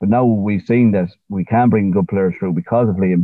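This man's voice sits at a fairly low pitch. He talks at a moderate pace. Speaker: podcast co-host, fan. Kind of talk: casual banter. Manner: animated, profane.

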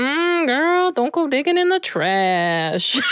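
A woman uses a high-pitched, cartoonish character voice with very wide pitch swings, speaking at a very slow pace. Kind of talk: cartoon voice acting. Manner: sassy, attitude-filled.

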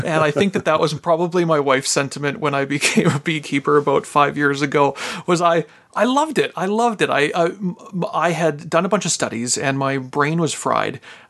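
A man speaks in a Canadian Prairie accent at a fairly high pitch. Noticeable background noise runs under his voice. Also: ordinary pitch variation, fairly quick pace. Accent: Canadian English (prairies). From Canadian prairies (Regina, Saskatchewan). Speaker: pastor and beekeeper. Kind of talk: casual interview.

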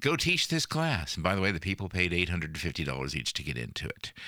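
Marked by vocal fry, a man's very deep, low voice moves through very wide pitch swings. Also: very clean recording, silent background. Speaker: podcast host and photographer. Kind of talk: casual interview and solo talk.

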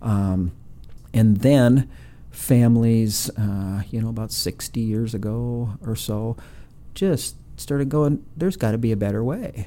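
With an Upper Midwest accent, a man of medium pitch talks at a fairly slow pace in a dark, mellow tone with ordinary pitch variation. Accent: Upper Midwest American. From Minnesota (Brainerd). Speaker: nonprofit CEO. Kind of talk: interview. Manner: halting, many fillers.

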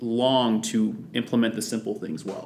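In an unremarkable speaking voice, a man talks at a fairly slow pace with a medium pitch. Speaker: podcast host. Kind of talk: interview.

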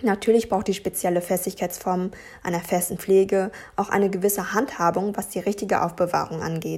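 Fairly quick speech from a woman in a monotone, flat intonation. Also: medium pitch for a woman. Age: 20s. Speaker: podcast host and blogger. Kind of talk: solo podcast, reading from notes. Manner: hesitant with fillers.

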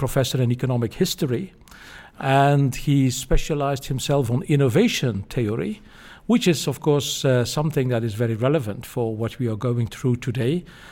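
A man in a Dutch accent, medium pitch, ordinary pitch variation and a fairly quick pace. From Belgium, Flanders. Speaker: former climate policy official and professor. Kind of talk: interview.

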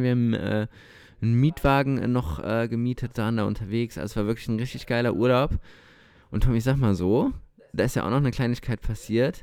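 On a very clean recording with a silent background, an unremarkable speaking voice moves at a fairly quick pace with ordinary pitch variation. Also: man. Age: 20s. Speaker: podcast co-host. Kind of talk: casual chat. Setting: recording at co-host's home.

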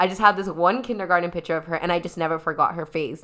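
A woman with a Toronto accent talks at a very fast pace and a fairly low pitch. The recording is very clean with a silent background. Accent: Canadian (Toronto). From Toronto, Canada (Scarborough), Trinidadian family. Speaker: podcast host and founder of a community organization. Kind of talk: casual group discussion.

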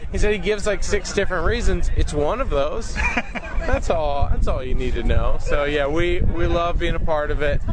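A man at a moderate pace with hardly any pauses, amid audible room echo and noticeable background noise. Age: 30s. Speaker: TV car show co-host. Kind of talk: casual interview. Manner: animated.

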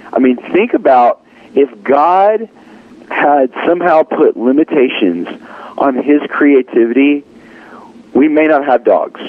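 Against noticeable background noise, a man with a fairly high pitch speaks at a fairly slow pace, with lively intonation, very even loudness, and long, frequent pauses. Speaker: singer-songwriter. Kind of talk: interview.

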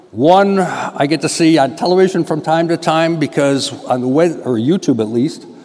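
Over noticeable background noise, a man with an American accent speaks fairly quickly in a fairly high pitch. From Western New York. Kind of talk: mission appeal talk in church.

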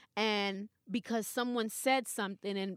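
In a New York accent, a woman speaks with a bright, sharp tone, recorded very cleanly against a silent background with a dry, close sound and no echo. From New York (Queens). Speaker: radio personality. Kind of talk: casual chat.

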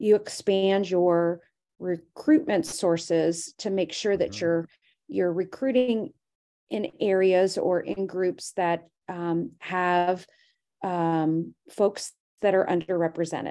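In a very clean recording with a silent background, a woman talks very slowly at a medium pitch, her dark, mellow tone showing ordinary pitch variation. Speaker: company president and CEO. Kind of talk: casual interview chat.

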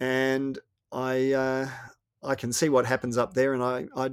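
The speaker is a man of medium pitch with an Australian accent. The sound is dry and close, with no echo. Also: very clean recording, silent background. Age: 60s. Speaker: author and former radio host. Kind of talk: interview.

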